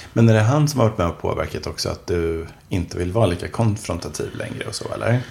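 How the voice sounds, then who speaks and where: Lively intonation runs at a very fast pace over noticeable background noise. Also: man, fairly low pitch for a man. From Swedish mill town. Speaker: author. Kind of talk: casual chat.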